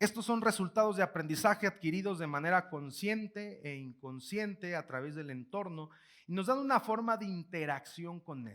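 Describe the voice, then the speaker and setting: An animated man with high pitch, lively intonation, big swings in loudness, and a moderate pace. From Mexico, Guanajuato. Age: 20s. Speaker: motivational speaker. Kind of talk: keynote lecture to live audience. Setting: auditorium with audience. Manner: animated, repetitive false starts.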